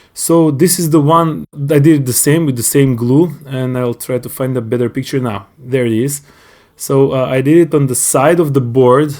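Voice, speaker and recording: A man's dark, mellow voice at a medium pitch, moderate in pace, with fairly even intonation. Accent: non-native. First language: not English. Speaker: hobbyist YouTuber. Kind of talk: tutorial. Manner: halting.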